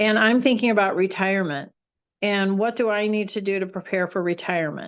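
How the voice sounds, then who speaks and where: A plain, everyday voice from a woman, medium in pitch, at a fairly quick pace with fairly even intonation against a quiet background. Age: 60s. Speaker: personal development trainer. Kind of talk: online training session. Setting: video call. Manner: conversational, with frequent fillers.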